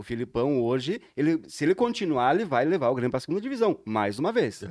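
On a very clean recording with a silent background, a man speaks at a fairly quick pace with very wide pitch swings. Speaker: podcast co-host. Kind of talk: casual chat.

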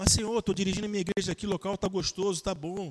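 A man at a very fast pace, high in pitch, dry and close with no echo. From southern Brazil (Rio Grande do Sul). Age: 40s. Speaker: pastor. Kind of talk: casual interview. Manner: animated.

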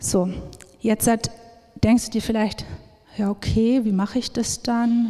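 Monotone, flat intonation runs at a moderate pace over noticeable background noise. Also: woman. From Upper Palatinate, Bavaria. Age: 30s. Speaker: missionary speaker. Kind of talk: sermon-style talk. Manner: many filler sounds (ähm).

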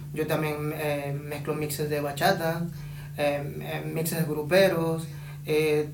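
Audible room echo and noticeable background noise surround a man speaking at a very slow pace. His fairly high-pitched voice stays monotone and flat. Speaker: DJ and urban artist. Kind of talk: casual interview.

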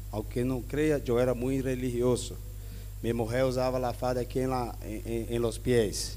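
A man with a Spanish accent at a fairly slow pace, with audible room echo. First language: Spanish (speaking Portuguese). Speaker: pastor. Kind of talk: sermon.

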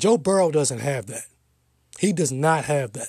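On a very clean recording with a silent background, a man with a fairly high pitch speaks at a moderate pace with ordinary pitch variation. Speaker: podcast host and sports commentator. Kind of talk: solo opinion podcast, sports talk monologue. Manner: emphatic, opinionated, repeats words for emphasis; direct, lecturing, preachy tone on mask-wearing.

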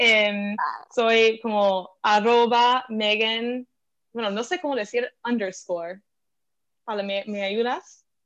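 Very slow speech from a woman with a fairly high voice and ordinary pitch variation. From US, Philadelphia. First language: English (speaking Spanish). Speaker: venture capital investor. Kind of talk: interview. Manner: halting, with fillers.

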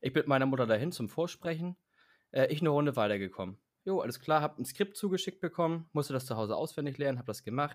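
A man talking very fast, fairly high-pitched, with lively intonation, on a very clean recording with a silent background. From Hamburg, northern Germany. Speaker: podcast co-host. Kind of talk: casual chat.

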